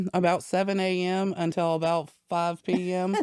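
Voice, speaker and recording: Speaking with an American accent at a fairly slow pace, a woman with a fairly low pitch keeps her intonation monotone and flat, in a dry, close sound with no echo. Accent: little Southern twang, family worked it out. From Southern Virginia (Danville). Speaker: business owner. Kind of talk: interview. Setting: studio.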